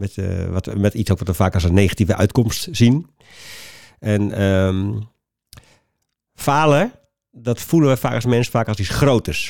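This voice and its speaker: A man with a fairly low voice speaks fairly slowly with long, frequent pauses and ordinary pitch variation, on a very clean recording with a silent background. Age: 50s. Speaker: trainer and author on failure. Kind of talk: casual interview.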